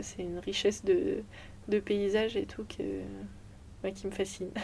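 A woman with an unremarkable speaking voice talks at a medium pitch and fairly slow pace, with fairly even intonation. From Brittany, France (Brest). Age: 20s. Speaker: Olympic sailor. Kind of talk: interview.

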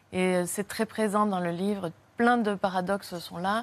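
Speaking at a fairly slow pace, a woman keeps her intonation fairly even at a medium pitch. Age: 40s. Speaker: writer. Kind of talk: interview. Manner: halting.

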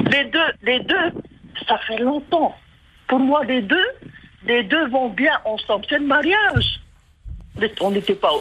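Lively intonation comes through at a very slow pace, with long, frequent pauses and noticeable background noise. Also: woman, high pitch for a woman. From Tuamotu, French Polynesia. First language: Tahitian (speaking French). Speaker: caller. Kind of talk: call-in.

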